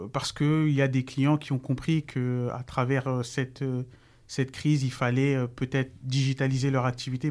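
Over a very clean recording with a silent background, a man of medium pitch talks at a fairly slow pace with monotone, flat intonation. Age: 30s. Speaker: digital agency founder. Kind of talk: interview.

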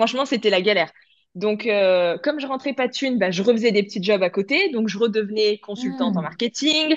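A woman with an unremarkable speaking voice, fairly high-pitched, lively in intonation, at a fairly quick pace. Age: 30s. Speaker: image consultant and clothing brand founder. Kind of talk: casual interview chat.

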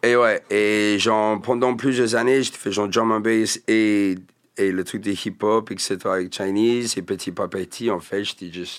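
In a very clean recording with a silent background, a man with a slight English accent talks at a fairly slow pace, his pitch fairly low and his intonation fairly even. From England. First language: English (speaking French). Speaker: rapper. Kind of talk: casual interview chat.

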